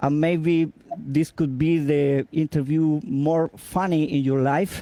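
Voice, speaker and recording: A man with a Spanish accent speaks very slowly at a fairly high pitch, his tone dark and mellow. His loudness stays very even. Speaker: interviewer, guitarist. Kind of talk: interview. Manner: halting.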